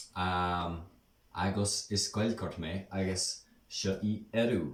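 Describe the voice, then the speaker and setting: The speaker is a man with a fairly low pitch. Audible room echo surrounds his voice. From Ireland, Dublin. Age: 20s. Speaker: Irish language speaker and English teacher. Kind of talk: casual vlog talk. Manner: hesitant, many ums.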